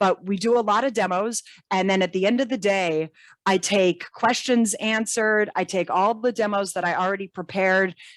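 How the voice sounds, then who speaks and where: On a very clean recording with a silent background and a dry, close sound with no echo, a woman speaks at medium pitch with fairly even intonation and very even loudness. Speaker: database trainer and consultant. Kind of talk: interview. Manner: fast.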